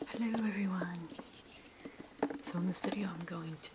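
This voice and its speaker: Someone whispers in a soft-spoken way over loud background noise. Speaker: ASMR creator. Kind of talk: ASMR show and tell, whispered camera sounds. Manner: whispered, soft-spoken. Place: home room. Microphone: phone near.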